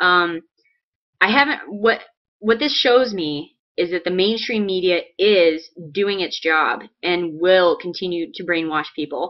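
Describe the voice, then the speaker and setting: In an American accent, a woman with an unremarkable speaking voice talks fairly slowly at a medium pitch with ordinary pitch variation. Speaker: political video blogger. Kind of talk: political commentary vlog.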